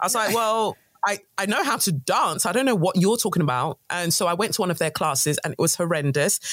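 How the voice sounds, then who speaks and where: In a London accent, a woman speaks at a fairly quick pace with lively intonation and very even loudness. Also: medium pitch for a woman. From London, England (born in Nigeria). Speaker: guest, creative entrepreneur. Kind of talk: casual chat. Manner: articulate.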